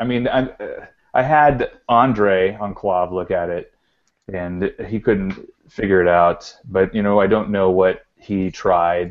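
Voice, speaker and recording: A man with an American accent, a normal speaking voice, fairly low pitch and fairly even intonation. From Texas. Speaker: arcade collector. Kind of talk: casual chat.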